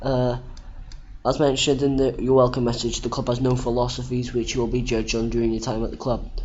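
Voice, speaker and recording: With a British accent and medium pitch, a man talks at a fairly quick pace amid audible room echo. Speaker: gaming youtuber. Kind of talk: gameplay commentary. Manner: halting; casual.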